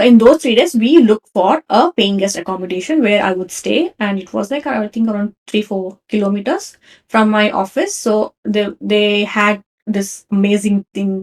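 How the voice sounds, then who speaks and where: Pitch rises and falls in a normal way at an even, moderate speed. There is no echo, so the sound comes across dry and close. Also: woman. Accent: Kannada. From India, Karnataka. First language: Kannada. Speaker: podcast host. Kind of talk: personal storytelling. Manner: casual, conversational.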